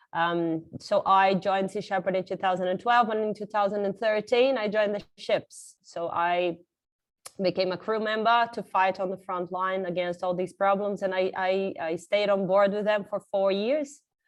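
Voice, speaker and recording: The speaker has a slight Australian accent and a moderate pace. Intonation stays fairly even. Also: woman, medium pitch for a woman. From Brazil. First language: Portuguese. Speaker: marine conservationist. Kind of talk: conference talk.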